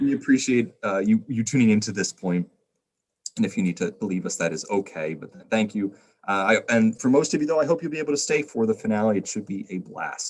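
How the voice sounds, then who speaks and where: A man talks at a very fast pace, his intonation lively throughout. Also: medium pitch for a man, big swings in loudness. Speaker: trivia host of a charity livestream. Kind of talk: live-stream hosting.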